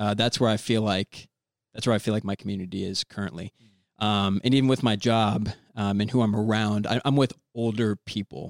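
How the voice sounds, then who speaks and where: Fairly quick and fairly even in intonation, a man with an American accent and a fairly low pitch uses an ordinary speaking voice, recorded dry and close with no echo in a very clean recording against a silent background. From Florida, Orlando. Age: 20s. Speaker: young father, church member. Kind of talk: casual chat.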